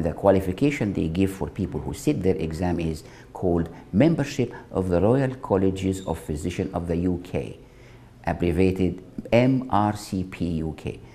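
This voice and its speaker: With a very deep, low pitch, a man speaks in a dark, mellow, somewhat breathy tone and lively intonation. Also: moderate pace. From Egypt, Alexandria. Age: 70s. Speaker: retired physician. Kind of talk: personal life story interview.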